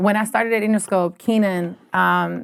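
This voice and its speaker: The speaker is a woman. She has an Albanian accent. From Albania, then Canada from age 13. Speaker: music industry executive. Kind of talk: podcast interview. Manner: casual, animated.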